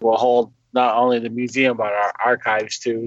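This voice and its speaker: A moderate pace, an American accent, and a monotone, flat delivery. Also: man. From western New York, Seneca territory. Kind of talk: interview.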